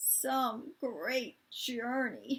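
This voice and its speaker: A woman's raspy, put-on character voice, high in pitch with ordinary pitch variation. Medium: read story. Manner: brash, snappish.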